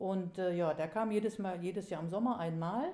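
Here a woman has an ordinary speaking voice. She keeps a moderate pace and ordinary pitch variation. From Germany, northern Hesse. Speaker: local history author and collector. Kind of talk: interview.

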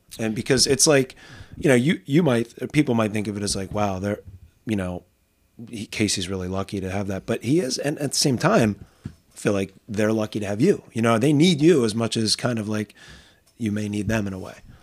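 An unremarkable speaking voice from a man, medium in pitch, at a fairly quick pace with ordinary pitch variation. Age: 40s. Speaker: podcast host and teacher. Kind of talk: casual interview. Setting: home studio.

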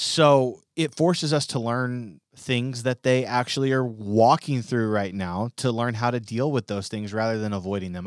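Here is a man with a normal speaking voice and ordinary pitch variation, talking at a moderate pace. The sound is dry and close, with no echo. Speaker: student pastor podcast co-host. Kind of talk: casual chat. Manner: jokey.

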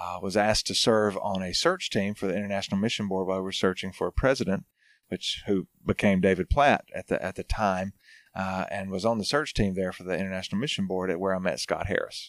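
On a very clean recording with a silent background and a dry, close sound with no echo, a man with a Southern US accent talks at a very fast pace with fairly even intonation. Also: fairly low pitch for a man. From North Alabama. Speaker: pastor. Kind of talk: casual chat.

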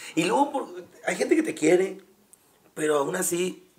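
A man keeps a moderate pace while noticeable background noise carries on. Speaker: stand-up comedian. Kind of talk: casual chat.

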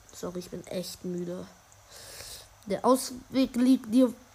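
The speech moves at a very slow pace, with ordinary pitch variation. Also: woman. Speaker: gaming podcaster. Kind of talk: let's play commentary. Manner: halting.

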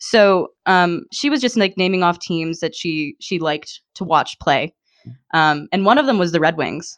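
A woman's ordinary speaking voice, fairly low in pitch, at a moderate pace with an American accent over a quiet background. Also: lively intonation. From western Pennsylvania, US. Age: 20s. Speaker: hockey blogger. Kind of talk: casual chat.

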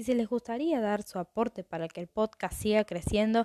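A woman's fairly high voice with a dark, mellow tone and ordinary pitch variation, in a very clean recording with a silent background. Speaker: true crime podcast host. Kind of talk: casual storytelling monologue.

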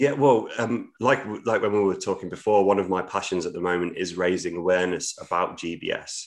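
A man talks with a British accent. His pace is fairly quick, with hardly any pauses. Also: quiet background. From English Midlands. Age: 30s. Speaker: theatre producer. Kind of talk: podcast interview.

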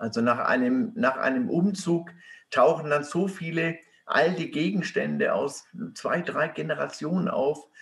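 Lively intonation at a fairly slow pace. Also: man. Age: 70s. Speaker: author and activist. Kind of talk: interview. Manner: halting, many fillers.

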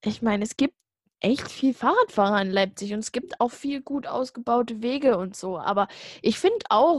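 Recorded with a dry, close sound and no echo, this is a plain, everyday voice. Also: woman. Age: young. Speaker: podcast co-host. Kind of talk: casual chat.

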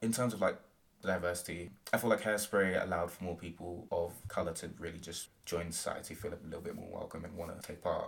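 A man with a British accent talks very fast in a very deep, low pitch, somewhat breathy, with fairly even intonation and big swings in loudness. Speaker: university student and performer. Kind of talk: casual interview.

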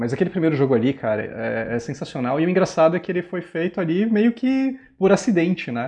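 A high-pitched man talks at a fairly quick pace with hardly any pauses and very wide pitch swings. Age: 30s. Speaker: guest gamer. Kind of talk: casual chat.

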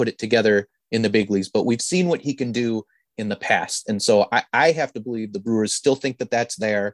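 A man with an Upper Midwest accent speaks at a medium pitch with ordinary pitch variation, in dry, close sound with no echo. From northern Wisconsin. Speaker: baseball podcast co-host. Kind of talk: casual chat.

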